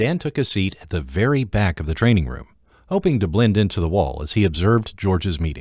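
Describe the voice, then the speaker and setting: On a very clean recording with a silent background, a man with vocal fry speaks at a fairly quick pace with very wide pitch swings. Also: fairly low pitch for a man. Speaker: audiobook narrator. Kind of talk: audiobook narration, non-fiction.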